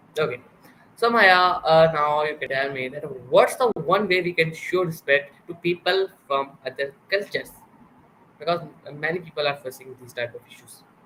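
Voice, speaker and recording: A man with a Pakistani accent and a high pitch, his loudness swinging widely. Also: ordinary pitch variation, moderate pace. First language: Urdu. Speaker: interviewer, show host. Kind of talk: interview. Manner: hesitant, filler-heavy.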